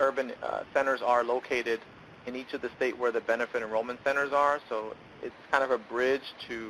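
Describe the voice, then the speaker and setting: The speech comes quite quickly, with an American accent. Intonation stays fairly even. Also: man. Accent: New York accent, comes out sometimes. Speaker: benefits program presenter. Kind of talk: webinar presentation. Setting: online webinar.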